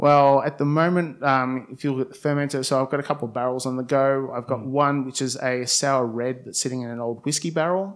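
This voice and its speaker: A man with a plain, everyday voice talks at a fairly quick pace with hardly any pauses, his pitch medium and intonation fairly even. The recording is very clean with a silent background. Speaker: blind tasting winner. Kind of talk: casual chat.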